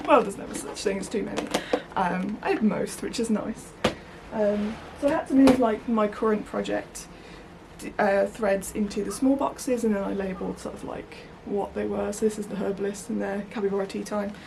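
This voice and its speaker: Against noticeable background noise, a woman with a West Midlands accent talks at a fairly quick pace with ordinary pitch variation. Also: medium pitch for a woman. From West Midlands, England. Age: 30s. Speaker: crafting vlogger. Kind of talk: casual vlog chat. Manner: hesitant, many fillers.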